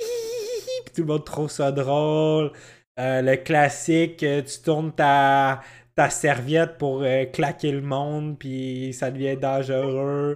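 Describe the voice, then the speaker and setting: In a very clean recording with a silent background, a man with a Quebec accent speaks at a very slow pace. His pitch is fairly high. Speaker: podcast co-host. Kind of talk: casual chat. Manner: animated.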